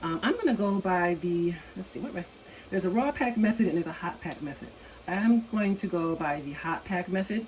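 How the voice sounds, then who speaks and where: Noticeable background noise sits under the recording. A woman speaks at a fairly quick pace with lively intonation. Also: medium pitch for a woman. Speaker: home canning video creator. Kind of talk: tutorial. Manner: casual, with many fillers; lowered voice, quieter.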